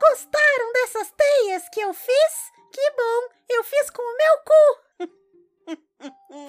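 Using a squeaky, put-on character voice, a woman speaks at an extremely high pitch and a very slow pace.

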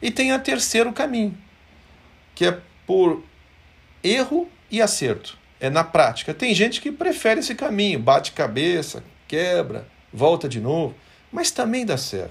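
A man with a high voice speaks at a fairly slow pace, his pitch swinging very widely, with long, frequent pauses. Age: 50s. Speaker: company executive. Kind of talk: motivational company devotional talk.

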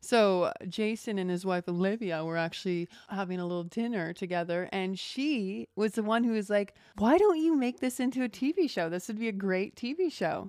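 A woman speaks at medium pitch in a plain, everyday voice. Her intonation is lively, her pace moderate, with hardly any pauses. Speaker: actress and production designer. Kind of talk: casual chat.

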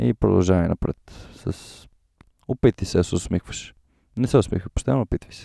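Very deep and low in pitch with vocal fry and a dark, mellow tone, a man speaks at a moderate pace with very wide pitch swings and big swings in loudness, recorded dry and close with no echo. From Bulgaria, Sofia. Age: 20s. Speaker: podcaster. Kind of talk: interview.

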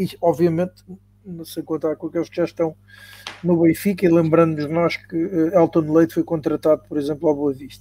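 A man at a high pitch with monotone, flat intonation and a moderate pace, in a dry, close sound with no echo. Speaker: podcast moderator. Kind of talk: panel discussion. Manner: halting.

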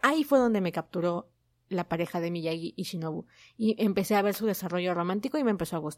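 A woman speaks at a very fast pace in an animated tone, her pitch varying in an ordinary way. The recording is very clean, with a silent background. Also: medium pitch for a woman. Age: 20s. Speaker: podcast host reviewing manga. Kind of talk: casual solo podcast monologue.

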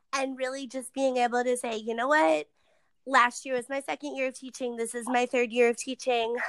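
A woman talks at a fairly quick pace in a high pitch with ordinary pitch variation, and the sound is dry and close with no echo. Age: 20s. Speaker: elementary school teacher. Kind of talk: interview.

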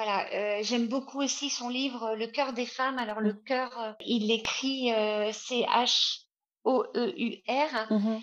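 At a very slow pace, a woman talks in a high pitch with fairly even intonation. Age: 50s. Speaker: author. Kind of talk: interview. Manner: halting.

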